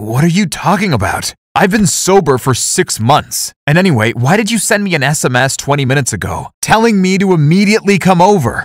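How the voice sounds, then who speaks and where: A man's put-on character voice, high-pitched with very wide pitch swings, at a fairly quick pace with hardly any pauses. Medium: read story.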